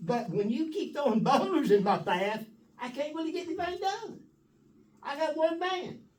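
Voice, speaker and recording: Audible room echo follows a man whose voice makes very wide pitch swings. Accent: Texas. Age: 80s+. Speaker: city water and wastewater operator. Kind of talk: town meeting discussion. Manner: blunt, forceful.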